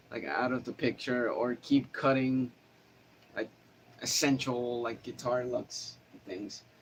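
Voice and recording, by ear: A man with a nasal, fairly bright voice speaks at a medium pitch.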